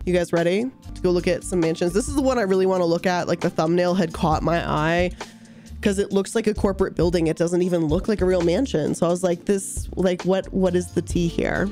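With music in the background, a woman talks very fast at a fairly low pitch, keeping fairly even intonation and very even loudness. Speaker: streamer, YouTuber. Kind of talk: casual livestream reaction commentary.

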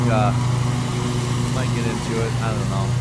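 Loud background noise sits under fairly quick speech, and the sound is dry with no echo. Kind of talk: casual vlog chat. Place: garden. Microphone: phone near.

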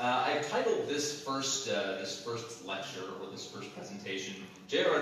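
There is strong room echo along with light background noise. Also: man. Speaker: lecturer. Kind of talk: lecture. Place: hall. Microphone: camera far.

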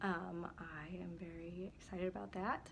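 A woman at medium pitch speaks with lively intonation. Noticeable noise fills the background. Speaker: real estate agent. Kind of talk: casual talk to camera.

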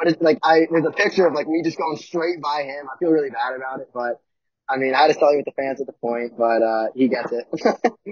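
With an American accent, a man at a fairly high pitch talks at a fairly quick pace with ordinary pitch variation, in a dry sound with no echo and a quiet background. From Philadelphia, US. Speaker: college hockey player; guest. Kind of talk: casual chat. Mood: relaxed, smiling storytelling. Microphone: video call.

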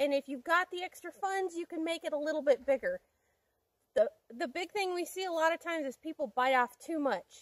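A woman with an American accent speaks at an extremely high pitch. The sound is dry and close with no echo, and her intonation is lively. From US, rural farm background. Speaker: homesteader. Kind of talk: casual tutorial to camera.

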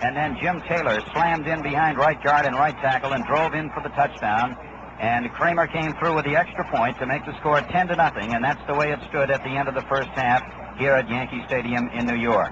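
A man with a fairly high pitch speaks at a fairly quick pace with fairly even intonation, the sound dry with no echo but with noticeable background noise. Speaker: radio sports announcer. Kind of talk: radio game recap commentary. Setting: stadium broadcast booth. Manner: brisk, steady, crisp play-by-play delivery; formal, polished 1960s broadcaster tone. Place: stadium. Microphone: old recording.

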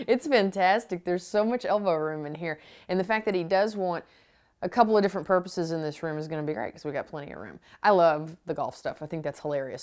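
Over a quiet background, a woman speaks at a very fast pace with big swings in loudness and ordinary pitch variation. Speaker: home makeover show host. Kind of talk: TV host commentary. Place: home room.

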